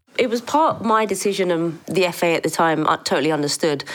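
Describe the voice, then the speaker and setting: A woman talks fairly quickly while noise stands out in the background. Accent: English. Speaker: former footballer. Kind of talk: interview.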